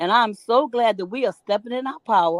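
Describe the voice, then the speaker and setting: A woman talks at a fairly quick pace in an animated tone. Her intonation is lively. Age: 60s. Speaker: talk show co-host. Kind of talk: podcast interview. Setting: video call.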